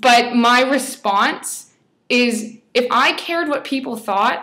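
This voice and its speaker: The background is quiet. A woman speaks at a high pitch with a bright, sharp tone. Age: 20s. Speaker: fashion blogger; blogger sharing a personal story. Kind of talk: personal testimony vlog. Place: home room. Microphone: webcam.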